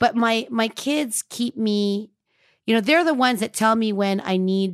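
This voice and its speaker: A woman speaks at a fairly slow pace with a fairly high pitch and lively intonation, in a very clean recording with a silent background. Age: 40s. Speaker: matchmaker and TV personality. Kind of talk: interview.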